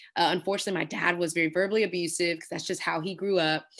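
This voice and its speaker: Against a quiet background, someone speaks with an American accent and ordinary pitch variation. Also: woman. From Texas, Houston. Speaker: pastor and speaker. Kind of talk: interview testimony. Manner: animated.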